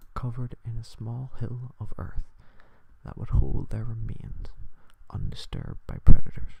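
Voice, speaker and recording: A man's whisper, soothing in tone, with long, frequent pauses. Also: big swings in loudness. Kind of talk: soft-spoken ASMR story reading. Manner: soft-spoken, soothing.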